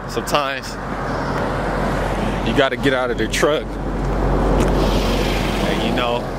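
The sound is dry, with no echo, and the pace is moderate. Loud background noise runs throughout. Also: man. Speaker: truck driver vlogger. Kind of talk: casual vlog chat. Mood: relaxed, joking. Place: open country. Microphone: phone near.

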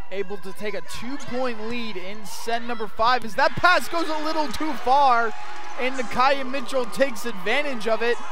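Over noticeable background noise, a man speaks in a raised, projected voice at an extremely high pitch, moderately paced with ordinary pitch variation. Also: dry sound with no echo. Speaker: sports play-by-play broadcaster. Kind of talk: live sports play-by-play commentary. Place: hall. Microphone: headset.

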